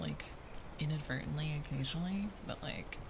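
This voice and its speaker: A woman's voice at a fairly quick pace, with lively intonation and noticeable background noise. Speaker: ASMR artist. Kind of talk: soft-spoken ASMR chatting to camera. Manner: soft-spoken, casual, chatty.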